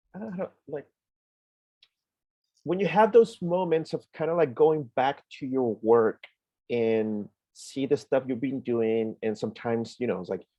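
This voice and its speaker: Using lively intonation, a man with a medium pitch and a dark, mellow tone speaks at a fairly slow pace with long, frequent pauses. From Chile. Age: 30s. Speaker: animator and filmmaker. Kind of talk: guest lecture.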